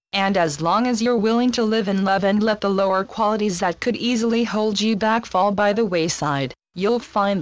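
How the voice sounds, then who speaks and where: A woman's medium-pitched voice, a normal speaking voice, fairly even in intonation at a moderate pace. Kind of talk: channeled spiritual message reading.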